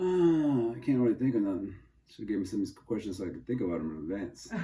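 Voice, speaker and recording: A man with an American accent speaks very fast in a fairly low voice. His intonation is lively. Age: 70s. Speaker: interviewee, father of interviewer. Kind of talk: casual family interview.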